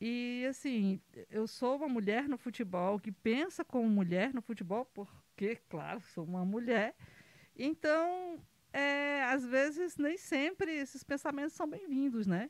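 A woman with a high pitch talks at a fairly slow pace, her pitch swinging very widely. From Brazil, Ceará (Pedra Branca, rural). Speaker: football club president. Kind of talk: casual interview. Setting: studio.

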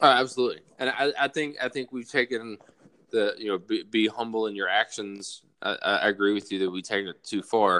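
Speaking at a fairly quick pace with a Southern US accent, this voice has a bright, sharp tone and ordinary pitch variation. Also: man, medium pitch for a man. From US South, South Alabama. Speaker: army soldier. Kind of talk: casual chat.

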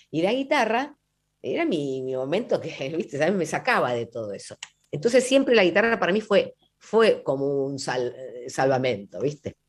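At a moderate pace, a woman speaks at medium pitch with vocal fry and very wide pitch swings. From Buenos Aires, Argentina. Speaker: folk singer. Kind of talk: radio interview. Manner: halting.

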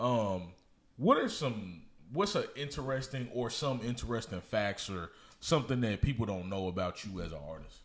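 A man's medium-pitched voice, lively in intonation, at a moderate pace. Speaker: podcast host and DJ. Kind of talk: casual interview chat. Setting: studio.

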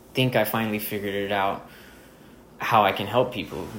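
A man's fairly low, monotone, flat voice with audible room echo. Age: 20s. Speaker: podcast host. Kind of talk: solo monologue. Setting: dining room at home. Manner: halting, many filler words; casual.

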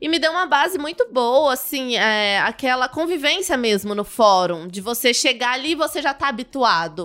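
A woman with a bright, sharp tone and a high pitch speaks with very wide pitch swings and hardly any pauses. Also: moderate pace. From Brazil, southern Minas Gerais (Muzambinho). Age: young. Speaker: criminal defense lawyer. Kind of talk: casual interview.

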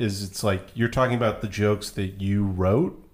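Here is a man with an American accent and a fairly low pitch. He has a normal speaking voice and keeps a moderate pace. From rural Texas. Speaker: guest. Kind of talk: casual chat.

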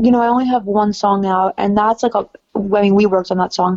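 With an American accent, a woman talks at a fairly quick pace in a fairly high pitch with ordinary pitch variation, her tone dark and mellow, the sound dry and close with no echo. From New York City. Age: 20s. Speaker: singer-songwriter. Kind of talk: casual chat.

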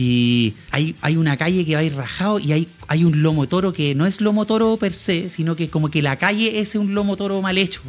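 A man with a Chilean accent speaks at a fairly quick pace and a high pitch. His intonation is lively and his loudness very even. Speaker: podcast co-host. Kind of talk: casual chat.

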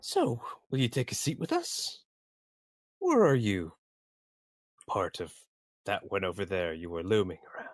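A man performs a put-on character voice. He goes at a moderate pace with long, frequent pauses. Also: fairly low pitch for a man. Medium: actual play. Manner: loud, open, lazy.

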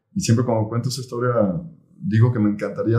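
A man with a Mexican accent speaks at a medium pitch in a dark, mellow, somewhat breathy tone. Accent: Mexican Spanish (Jalisco). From Mexico, Jalisco (Tala, near Guadalajara). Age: 40s. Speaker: entrepreneur, boxing gym founder. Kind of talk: interview. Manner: halting, many fillers and repetitions.

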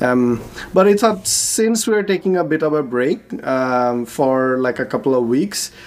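A man's fairly high voice with very wide pitch swings, at a fairly slow pace, amid noticeable background noise. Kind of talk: casual interview chat.

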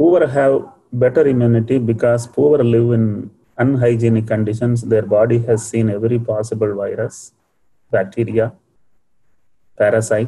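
A man with a Tamil accent speaks at a moderate pace in a medium pitch, his somewhat breathy voice dark and mellow in tone, with fairly even intonation and long, frequent pauses. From India, Tamil Nadu (Coimbatore). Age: 60s. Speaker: entrepreneur and scientist. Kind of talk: motivational talk in a webinar. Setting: online webinar.

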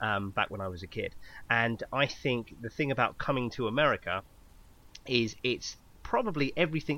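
An ordinary speaking voice from a man at medium pitch and moderate pace, with ordinary pitch variation, in a very clean recording with a silent background. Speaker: podcast co-host. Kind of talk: casual chat.

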